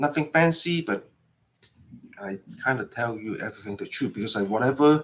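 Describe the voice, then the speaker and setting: A man with a non-native accent talks in an animated tone, his pitch swinging very widely. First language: not English. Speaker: permanent makeup artist and instructor. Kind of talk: live stream demo chat. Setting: live stream. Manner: animated, repetitive.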